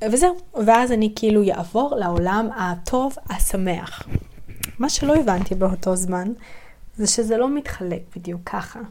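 A woman's fairly high, lively voice at a fairly slow pace, with audible room echo. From southern Israel, Yeruham. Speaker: podcast host, spiritual practitioner. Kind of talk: personal storytelling monologue. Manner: hesitant, many fillers.

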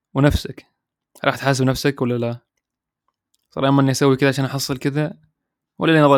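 A man's relaxed, medium-pitched voice at a moderate pace, with monotone, flat intonation and long, frequent pauses. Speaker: podcast host. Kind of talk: casual monologue. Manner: relaxed, natural.

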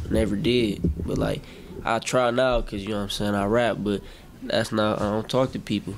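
Speaking at a fairly quick pace, a man with an American accent has a normal speaking voice, fairly low in pitch, with fairly even intonation. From Milwaukee, Wisconsin. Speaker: rapper. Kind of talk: casual interview.

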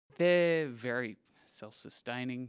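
The speaker is a man. He has an Australian accent. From Western Australia, Perth. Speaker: livestock export manager. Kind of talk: interview.

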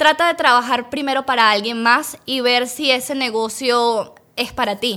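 On a very clean recording with a silent background, a woman projects a raised, high, bright and sharp voice at a fairly slow pace with fairly even intonation. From Venezuela, Caracas. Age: young. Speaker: dentist and business owner. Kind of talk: interview.

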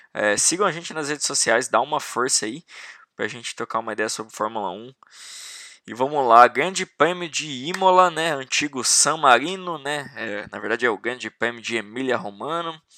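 Bright and sharp in tone, a man speaks at a moderate pace in a medium pitch with lively intonation. The recording is very clean with a silent background. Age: 20s. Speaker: podcast host, motorsport fan. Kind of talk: casual solo commentary.

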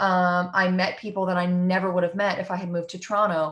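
A woman with an ordinary speaking voice talks at a fairly quick pace. The recording is very clean, with a silent background. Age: 20s. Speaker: singer-songwriter. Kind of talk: casual interview chat.

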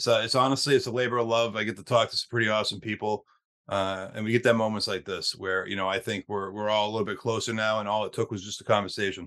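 Very fast and with hardly any pauses, a man speaks at a fairly low pitch. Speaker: podcast host. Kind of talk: casual interview intro and wrap-up.

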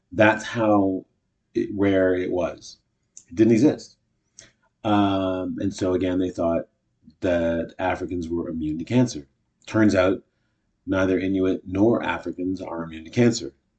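Here a man talks fairly slowly with a Canadian accent. His pitch is very deep and low, with long, frequent pauses. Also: fairly even intonation. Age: 50s. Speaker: podcast host, actor and comedian. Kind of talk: solo casual monologue. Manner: hesitant, many fillers.

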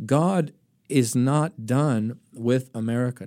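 The voice has a dark, mellow tone and ordinary pitch variation. The recording is very clean, with a silent background. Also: man. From US, Florida (Tarpon Springs Greek community). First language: Greek. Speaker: evangelist. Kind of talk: interview. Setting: studio.

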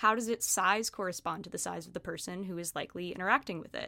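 In a very clean recording with a silent background, a woman speaks very fast at a medium pitch. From US, moved around. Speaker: graduate student. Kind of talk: casual academic conversation.

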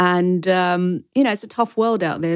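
A woman in a London accent, fairly low-pitched, with ordinary pitch variation. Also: very clean recording, silent background. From London, Wembley (Brent). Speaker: historian and PR professional. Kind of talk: interview conversation. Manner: animated.

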